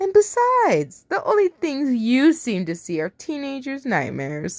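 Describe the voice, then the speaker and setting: A woman performs a put-on character voice. She speaks at a moderate pace with a high pitch. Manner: arrogant, superior.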